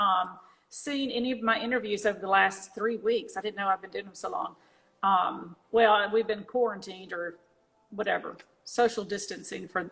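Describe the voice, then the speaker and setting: A woman's medium-pitched voice with vocal fry, fairly even intonation, big swings in loudness, a moderate pace and an American accent. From northeastern US until about ten, then US South. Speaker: gallery owner interviewing artists. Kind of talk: casual interview on Instagram live. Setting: Instagram live video call. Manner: halting, many fillers.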